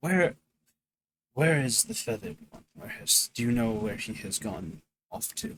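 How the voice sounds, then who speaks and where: Putting on a character voice, a man at medium pitch swings his pitch very widely, keeping a moderate pace broken by long, frequent pauses. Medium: actual play. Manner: formal, stilted speech without contractions.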